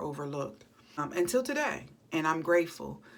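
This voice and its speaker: A woman's very deep, low-pitched voice at a moderate pace. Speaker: chronic pain vlogger. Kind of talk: personal vlog. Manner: unscripted, halting.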